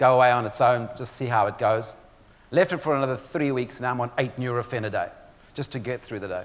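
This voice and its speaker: A man talks at a fairly quick pace. He has a South African accent. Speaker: motivational speaker and author. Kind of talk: keynote speech. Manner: animated.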